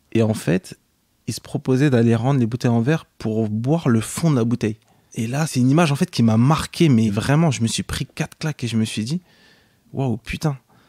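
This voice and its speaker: Recorded very cleanly against a silent background, a man's dark, mellow voice sits at a medium pitch with ordinary pitch variation and a dry, close sound with no echo. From France, Cergy-Pontoise, Senegalese family. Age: 20s. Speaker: entrepreneur. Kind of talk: interview. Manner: hesitant, many fillers.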